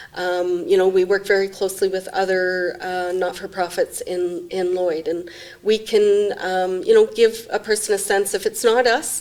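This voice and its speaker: Over noticeable background noise, a woman with a Canadian accent and a medium pitch talks at a moderate pace in a monotone, flat intonation, with hardly any pauses. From Saskatchewan/Alberta border, Canada. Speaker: executive director of a mental health non-profit. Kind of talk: interview.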